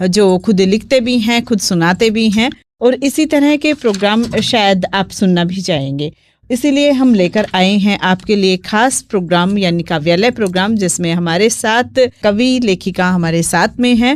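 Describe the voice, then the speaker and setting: A woman speaks in a normal speaking voice at a medium pitch, her intonation lively and her loudness very even. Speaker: radio host. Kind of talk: live FM radio show hosting.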